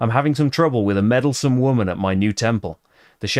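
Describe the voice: This is plain reading aloud. Nothing else is heard.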